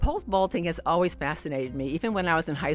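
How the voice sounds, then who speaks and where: A woman's voice with music in the background. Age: 60s. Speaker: athlete and podcast host. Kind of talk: interview answer.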